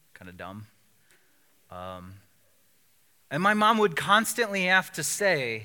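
In a raised, projected voice, a man with a high pitch and a bright, sharp tone speaks at a very slow pace on a very clean recording with a silent background. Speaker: pastor. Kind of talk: sermon. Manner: casual.

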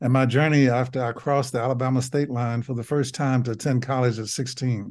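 A man with a Southern US accent, medium pitch, fairly quick pace, quiet background. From US South. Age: 70s. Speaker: physician and memoir author. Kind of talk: casual interview.

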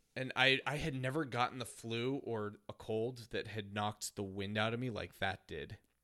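With an American accent, a man speaks at a moderate pace in a medium pitch, his intonation fairly even, hardly pausing, in an unremarkable speaking voice. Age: 30s. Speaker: podcast co-host. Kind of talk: casual chat.

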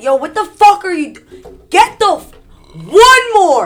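A woman adopts a put-on character voice, pitched extremely high and delivered at a fairly slow pace. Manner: aggressive, barking, intimidating.

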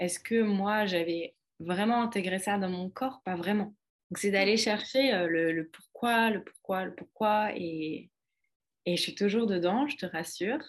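At a fairly slow pace, a woman with a plain, everyday voice speaks at medium pitch with ordinary pitch variation. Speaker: holistic coach and author. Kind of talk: casual chat.

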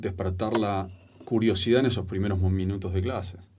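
A man talks at a moderate pace in a fairly low pitch with a dark, mellow tone. Audible room echo surrounds his voice. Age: 40s. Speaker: storytelling and public speaking coach, author. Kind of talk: casual interview conversation. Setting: studio.

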